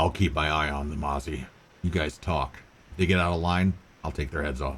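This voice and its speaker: A man's growling, very deep put-on character voice at a fairly quick pace. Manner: snarling, menacing.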